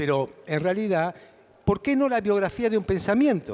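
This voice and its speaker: A man speaks with very wide pitch swings. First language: Hungarian (speaking Spanish). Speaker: philosopher and author. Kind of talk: interview.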